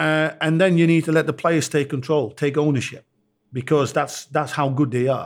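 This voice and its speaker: With an ordinary speaking voice, a man talks at a moderate pace, his pitch fairly high and his intonation fairly even, on a very clean recording with a silent background. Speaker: football coach. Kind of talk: live podcast interview. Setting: stage with audience. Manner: casual, conversational.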